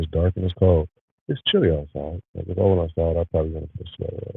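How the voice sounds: Very fast, growling put-on character voice from a man, very deep and low in pitch, with fairly even intonation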